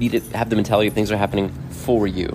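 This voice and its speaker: With music in the background, a man talks fairly quickly at a fairly low pitch. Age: 40s. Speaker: podcast host. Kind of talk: casual monologue. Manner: halting.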